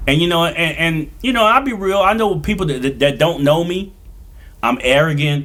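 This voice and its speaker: Loud and animated, a man speaks at a high pitch with lively intonation. He keeps a moderate pace. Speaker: DJ and comedian. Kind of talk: casual interview chat. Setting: studio.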